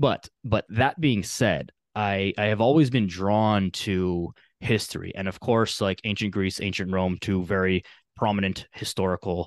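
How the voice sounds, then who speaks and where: In a dry, close recording with no echo and a quiet background, a man uses a normal speaking voice, fairly low in pitch with ordinary pitch variation, at a fairly slow pace. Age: 20s. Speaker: fitness coach. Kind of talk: casual chat.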